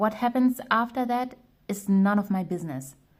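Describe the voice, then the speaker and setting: Speaking at a moderate pace in a non-native accent, a woman has a somewhat breathy, medium-pitched voice with ordinary pitch variation. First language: not English. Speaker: tarot reader. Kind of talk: tarot reading monologue. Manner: casual with fillers and self-corrections.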